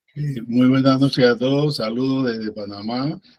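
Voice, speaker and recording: This man has an ordinary speaking voice. He talks at a moderate pace and a medium pitch. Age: 60s. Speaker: biologist, former university lecturer, event participant. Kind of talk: discussion remarks at an online academic talk.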